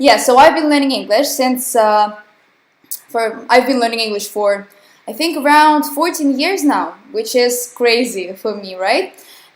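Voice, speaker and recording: Speaking at a fairly slow pace, a woman has a high pitch. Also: lively intonation. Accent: Russian. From southern Russia, Krasnodar. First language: Russian. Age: young. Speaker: English teacher. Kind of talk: online webinar lesson. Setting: live online webinar with chat.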